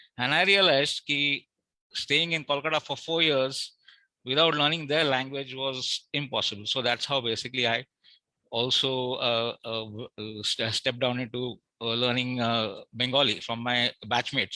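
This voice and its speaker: A man with a Marathi accent talks at a moderate pace and medium pitch, his bright, sharp tone showing ordinary pitch variation in a dry, close sound with no echo. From Mumbai, India. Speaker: award recipient, marine engineer. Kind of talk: acceptance speech. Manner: halting.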